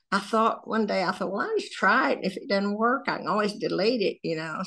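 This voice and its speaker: Against a quiet background, a woman with a Southern US accent speaks at a medium pitch in a bright, sharp tone with ordinary pitch variation. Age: 80s+. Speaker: social media creator. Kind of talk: casual chat.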